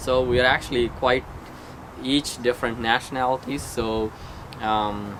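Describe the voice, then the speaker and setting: Against noticeable background noise, a man speaks at a fairly slow pace in a medium pitch with monotone, flat intonation and very even loudness. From India, Andhra Pradesh. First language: Telugu. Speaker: software engineer. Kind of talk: casual interview. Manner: halting.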